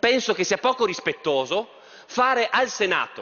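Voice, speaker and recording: Over a quiet background, a man speaks at a moderate pace in an extremely high pitch. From Trieste, north-east Italy; Italy. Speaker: politician. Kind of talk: parliamentary speech. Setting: parliament chamber. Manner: formal. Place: hall. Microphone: podium.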